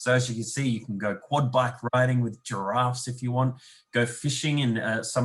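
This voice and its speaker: This man has a somewhat breathy voice at a medium pitch, with an Australian accent. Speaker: tourism representative. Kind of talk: webinar presentation.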